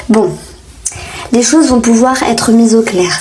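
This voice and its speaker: Fairly high pitch from a woman, with audible room echo and noticeable background noise. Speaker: tarot reader. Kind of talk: tarot reading. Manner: hesitant, many fillers.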